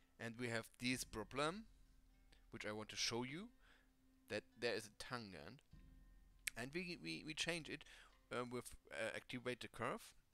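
Music plays behind a man speaking at a medium pitch with lively intonation. He talks at a fairly slow pace with long, frequent pauses. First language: not English. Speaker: 3D modding tutorial creator. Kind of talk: screen-recorded software tutorial.

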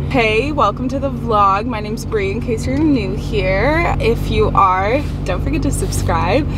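Amid loud background noise, a woman talks at a moderate pace in a dry sound with no echo. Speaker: college student vlogger. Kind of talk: casual vlog chat. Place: car. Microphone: phone near.

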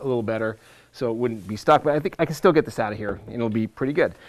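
A man speaking against a quiet background. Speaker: teacher presenter. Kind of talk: tutorial. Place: studio.

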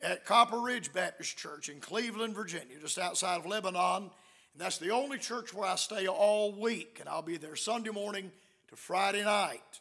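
A man's raised, projected voice at a moderate pace, with ordinary pitch variation over a quiet background. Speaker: visiting preacher. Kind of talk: sermon announcements. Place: church. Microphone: podium.

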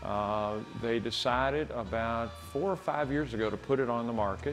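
A man talks at a moderate pace with faint music playing behind him. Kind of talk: interview answer. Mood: warm, reflective. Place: street. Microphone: lapel.

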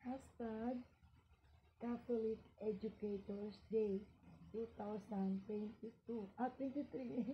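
A woman speaks at a very slow pace with fairly even intonation and a somewhat breathy sound. Light background noise can be heard. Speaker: school teacher. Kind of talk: casual vlog chat, unboxing show-and-tell. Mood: cheerful, laughing. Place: home room. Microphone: phone near.

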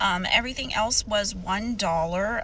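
A woman at a fairly slow pace, a dry sound with no echo, and light background noise. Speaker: reseller vlogger. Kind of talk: casual vlog chat. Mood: mildly disappointed. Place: car. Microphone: phone near.

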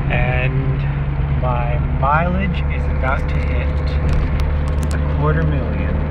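Very slow speech with long, frequent pauses, dry with no echo, over loud background noise. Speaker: driver. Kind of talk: casual talk to camera while driving. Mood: mildly excited, amused. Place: car. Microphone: phone near.

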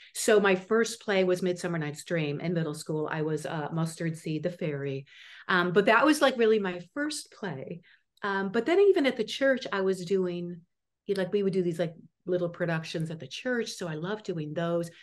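A woman with an American accent speaks at a moderate pace. Her pitch is fairly low and her intonation lively. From US Midwest, Chicago suburbs; Illinois. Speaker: actress and acting teacher; actress, acting coach. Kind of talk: interview. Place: home room. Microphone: video call.

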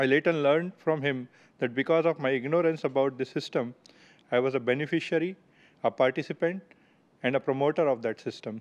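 Speaking with an Indian accent, the voice moves at a fairly quick pace with fairly even intonation and long, frequent pauses. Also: man, fairly high pitch for a man. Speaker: software engineer; presenter. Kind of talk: storytelling. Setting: stage with audience. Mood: reflective, earnest. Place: hall. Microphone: podium.

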